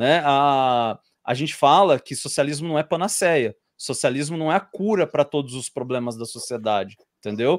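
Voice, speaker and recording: A normal speaking voice from a man, fairly high in pitch, with lively intonation, a dry sound with no echo, and a quiet background. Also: moderate pace. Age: 30s. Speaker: YouTuber and civil servant; interview guest. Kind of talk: interview. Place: home room. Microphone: video call.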